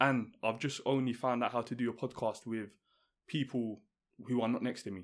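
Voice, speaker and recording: The speaker has a London accent and a monotone, flat intonation at a moderate pace. The recording is very clean, with a silent background. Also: man, medium pitch for a man. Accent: London multicultural English. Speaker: podcast host. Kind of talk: casual chat. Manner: calm, composed.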